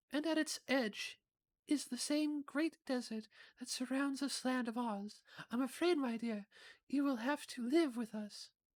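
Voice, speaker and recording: The voice is a put-on character voice with a high pitch. The pace is moderate. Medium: game stream. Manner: gentle, kindly.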